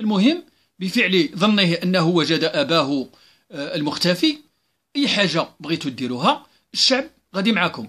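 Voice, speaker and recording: A man with a Moroccan accent speaks at a high pitch with very wide pitch swings in a very clean recording with a silent background. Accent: Moroccan Arabic (Darija). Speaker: civil servant. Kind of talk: open letter monologue. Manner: hesitant with fillers.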